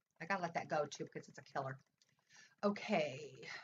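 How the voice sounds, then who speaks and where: A woman talks with an American accent. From US Midwest. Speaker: astrologer. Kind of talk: astrology forecast monologue. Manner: halting, many fillers.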